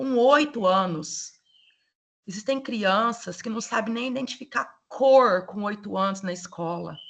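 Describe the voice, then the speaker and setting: In a plain, everyday voice, the speaker moves at a fairly slow pace with ordinary pitch variation. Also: woman, medium pitch for a woman. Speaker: lecturer, educational psychologist. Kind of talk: online lecture.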